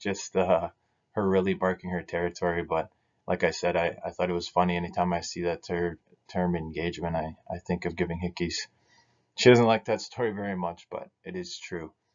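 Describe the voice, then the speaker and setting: With a Canadian Prairie accent, a man speaks at a fairly quick pace in a very deep, low voice with monotone, flat intonation against a quiet background. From northern Saskatchewan, Cree First Nation. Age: 30s. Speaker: business association director. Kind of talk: recorded presentation. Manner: hesitant, many fillers. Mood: relaxed, lightly humorous. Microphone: webcam.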